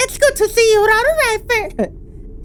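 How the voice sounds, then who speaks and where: A put-on character voice rings out at an extremely high pitch in a cheerful tone. Clear background noise is audible. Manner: cheerful, cartoonish.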